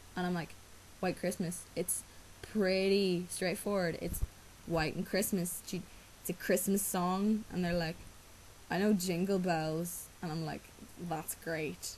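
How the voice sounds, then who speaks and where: At a very slow pace, a woman speaks with fairly low pitch and monotone, flat intonation. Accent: Irish. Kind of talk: casual talk to camera. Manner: hesitant, rambling.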